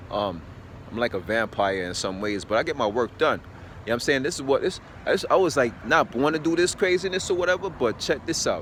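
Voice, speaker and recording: Loud and at a very fast pace, a man speaks with very wide pitch swings. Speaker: fitness vlogger. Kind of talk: casual monologue rant. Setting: outdoors early morning. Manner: rambling, filler-heavy.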